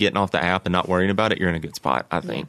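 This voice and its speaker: A man with a very deep, low voice talks at a very fast pace against a quiet background. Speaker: podcast guest. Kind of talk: casual conversation.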